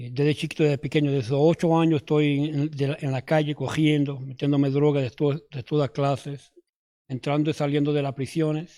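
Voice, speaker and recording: A man with a fairly high pitch speaks at a fairly quick pace in a monotone, flat intonation, in a very clean recording with a silent background. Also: dry, close sound with no echo. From New York. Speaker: former addict giving testimony. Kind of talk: testimony. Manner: halting, many fillers and restarts.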